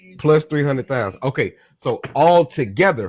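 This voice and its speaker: With an animated tone and ordinary pitch variation, a man talks at a moderate pace in a fairly high pitch. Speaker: live-stream host on banking and money. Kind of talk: casual live-stream discussion. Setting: live stream.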